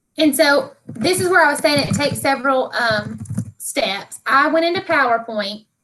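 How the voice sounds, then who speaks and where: A woman's raised, projected voice with a high pitch. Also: lively intonation. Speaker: teacher trainer. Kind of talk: training session tutorial. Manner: fast; casual, filler-heavy.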